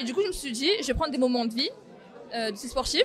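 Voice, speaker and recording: A high-pitched woman's voice with music in the background. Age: 20s. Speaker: young photographer. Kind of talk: interview testimony.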